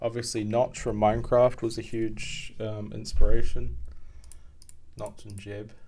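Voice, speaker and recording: A man with a New Zealand accent, fairly slow in pace, with audible room echo. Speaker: game programmer and streamer. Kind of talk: live coding stream, casual chat with chat readers. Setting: live stream, home desk at night. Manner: halting, many fillers.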